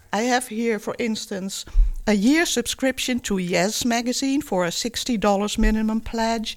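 With a plain, everyday voice, a woman talks at a fairly high pitch and a fairly slow pace, with ordinary pitch variation, in a very clean recording with a silent background. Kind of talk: radio pledge-drive co-presenter chat, switching between Dutch and English.

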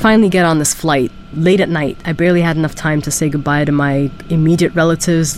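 Against noticeable background noise, a woman speaks very fast with a very deep, low pitch and fairly even intonation. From Germany. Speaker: PhD student in anthropology. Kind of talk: interview testimony.

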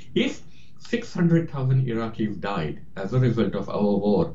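American-accented male speech in audible room echo. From India, then Queens, New York. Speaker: author and journalist. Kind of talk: interview.

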